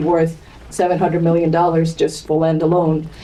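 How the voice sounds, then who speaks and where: A woman talks while noticeable background noise is heard around her. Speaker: real estate sales director. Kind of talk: panel discussion. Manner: loud. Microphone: speaking without a microphone.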